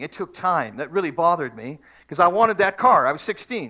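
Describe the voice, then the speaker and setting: In a Canadian accent, a man talks at a fairly quick pace with a bright, sharp tone and ordinary pitch variation, recorded very cleanly against a silent background. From Canada, Manitoba. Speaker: pastor. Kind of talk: sermon. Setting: church.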